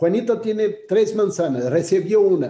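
Over a quiet background with audible room echo, a man with a Brazilian accent talks in a high voice with a dark, mellow tone and lively intonation. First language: Portuguese (speaking Spanish). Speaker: graphic designer, author and curator; panelist, design educator. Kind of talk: presentation; panel talk in online webinar. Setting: video call. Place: home room. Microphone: video call.

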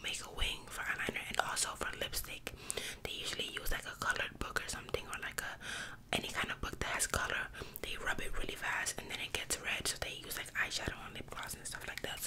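A soft-spoken woman whispers at a very fast pace. Noticeable background noise is present. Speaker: ASMR creator. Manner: soft ASMR whisper close to mic. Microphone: studio mic.

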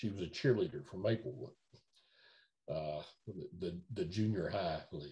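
Lively intonation and a dark, mellow tone come through in a Middle Tennessee accent. The voice is somewhat breathy, with long, frequent pauses. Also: man, fairly low pitch for a man, moderate pace. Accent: US Southern (Middle Tennessee). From Nashville, Tennessee. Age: 70s. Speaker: entertainment lawyer. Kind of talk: oral history interview. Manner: halting, many fillers and repetitions. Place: home room. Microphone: video call.

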